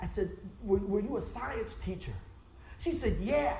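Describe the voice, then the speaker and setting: A woman talks at a moderate pace, her pitch swinging very widely. Noticeable background noise runs underneath. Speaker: preacher. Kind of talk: sermon. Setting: church.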